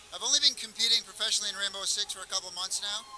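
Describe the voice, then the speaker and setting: A man talks throughout the clip. Noticeable background noise can be heard behind him. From Canada. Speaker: pro gamer. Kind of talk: interview. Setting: event floor.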